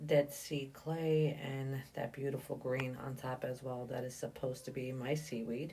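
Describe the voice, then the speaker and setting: A woman speaks fairly slowly in a very deep, low, dark and mellow voice that is somewhat breathy, with a monotone, flat intonation. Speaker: soap maker. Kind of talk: tutorial. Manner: halting.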